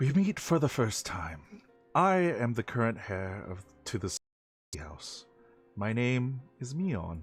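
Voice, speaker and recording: Put-on character voice from a man at medium pitch, with very wide pitch swings, big swings in loudness, a fairly slow pace, long, frequent pauses and faint music in the background. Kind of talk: formal, eloquent.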